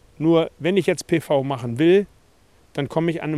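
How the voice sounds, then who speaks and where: The man's voice has a fairly high pitch and a dark, mellow tone. His pitch varies in an ordinary way. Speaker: farmer. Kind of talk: interview.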